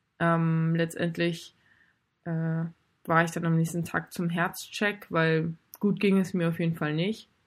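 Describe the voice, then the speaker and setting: On a very clean recording with a silent background, a woman speaks very slowly at a fairly low pitch. Her intonation is monotone and flat, broken by long, frequent pauses. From northern Germany, Baltic coast near Fehmarn. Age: 20s. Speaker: amateur triathlete with heart condition. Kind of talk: interview.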